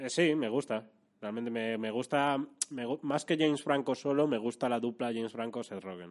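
At a moderate pace, a man speaks at a medium pitch with ordinary pitch variation in a normal speaking voice. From Madrid, Spain. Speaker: youtuber. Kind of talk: casual chat. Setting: office.

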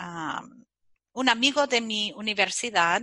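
The pace is very slow. A woman talks with pitch that varies in an ordinary way. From US Midwest, Chicago. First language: English (speaking Spanish). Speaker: kombucha expert and author. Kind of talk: interview. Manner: halting, frequent fillers and English slips; energetic.

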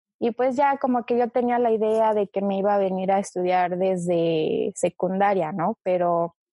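With a Mexico City accent, a woman talks at medium pitch. Her pace is fairly slow and her intonation fairly even. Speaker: guest. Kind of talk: casual chat.

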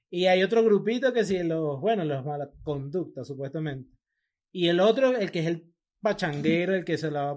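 Lively intonation carries this voice with a Venezuelan accent. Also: man. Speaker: podcast co-host. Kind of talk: casual chat.

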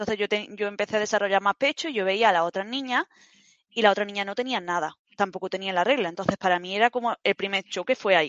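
A woman talks at a very fast pace. Her pitch is medium, with ordinary variation. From Spain, Granada (Andalusia). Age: 30s. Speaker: fitness program client. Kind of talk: interview, personal testimony. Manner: halting, repetitive fillers.

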